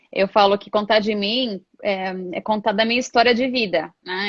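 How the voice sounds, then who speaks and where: The voice belongs to a woman. Its pitch is medium. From Brasília, Brazil. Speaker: HR professional and coach. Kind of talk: live interview.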